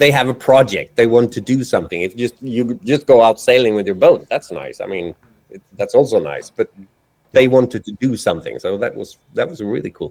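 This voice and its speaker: Fairly quick speech from a man with a Swedish accent, big swings in loudness, and a dry, close sound with no echo. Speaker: cinematographer and editor. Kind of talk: casual interview chat.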